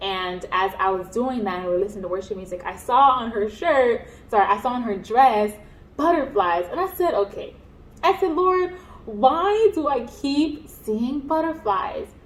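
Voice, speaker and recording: At a moderate pace, a woman with a high pitch speaks with very wide pitch swings. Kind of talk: personal testimony. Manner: halting, many fillers.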